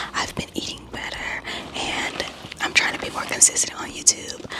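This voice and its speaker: The whispering runs at a moderate pace, with noticeable background noise behind it. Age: 20s. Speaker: book YouTuber. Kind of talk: casual vlog talk. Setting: library.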